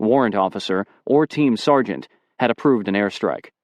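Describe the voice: Plain reading aloud against a quiet background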